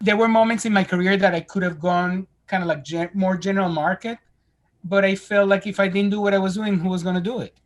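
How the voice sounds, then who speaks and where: A man speaks very fast in a high pitch. His intonation is monotone and flat. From Spain. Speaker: screenwriter and director. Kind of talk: podcast interview answer. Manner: casual, conversational.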